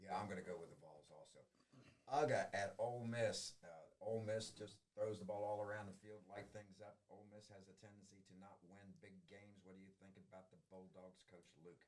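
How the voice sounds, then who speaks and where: Speaking with a slight Southern US accent, a man talks at a fairly quick pace in a fairly low pitch with monotone, flat intonation. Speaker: high school sports show host. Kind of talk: casual sports picks chat.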